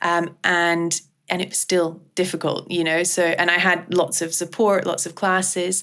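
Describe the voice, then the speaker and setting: In a Scottish accent, a woman with a bright, sharp tone and a fairly low pitch for a woman speaks on a very clean recording with a silent background. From Scottish Highlands. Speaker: clinical psychologist. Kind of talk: interview answer.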